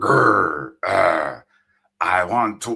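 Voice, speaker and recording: A man puts on a raspy character voice. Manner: growling, menacing.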